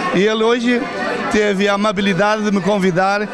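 A man talks at a fairly quick pace with noticeable background noise behind him. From Lazarim, Lamego area, Portugal, then Brazil. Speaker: festival visitor, returned emigrant. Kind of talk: interview. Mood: happy, grateful. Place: hall. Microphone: handheld.

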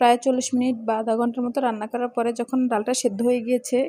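A soft-spoken woman talks with a high pitch. Her intonation is fairly even. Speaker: cooking channel host. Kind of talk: cooking tutorial.

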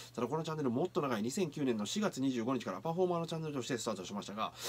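The voice moves at a very fast pace with very wide swings in pitch. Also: man. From Kyoto area, Japan; Japan. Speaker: anime reaction youtuber and street performer; anime reaction youtuber. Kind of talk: anime reaction commentary. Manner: animated. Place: home room. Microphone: webcam.

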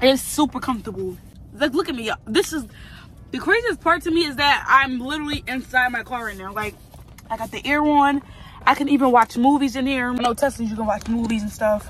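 In a dry recording with no echo, a woman speaks at a high pitch and a fairly quick pace with ordinary pitch variation. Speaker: vlogger. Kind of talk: casual vlog chat. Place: car. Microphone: phone near.

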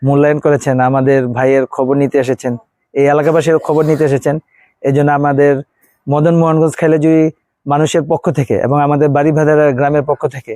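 A man's dark, mellow voice in a monotone, flat delivery, recorded dry and close with no echo. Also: fairly high pitch for a man. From Bangladesh, born in Dhaka. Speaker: primary school teacher, relative of politician. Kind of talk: interview.

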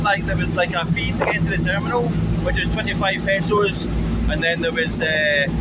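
A man at a moderate pace, over loud background noise. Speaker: travel vlogger. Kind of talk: casual vlog chat. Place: boat. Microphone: phone near.

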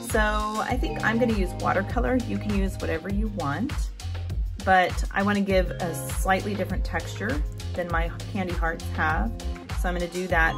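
With clear music in the background, a woman talks at an average speed. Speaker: art teacher. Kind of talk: tutorial. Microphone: phone near.

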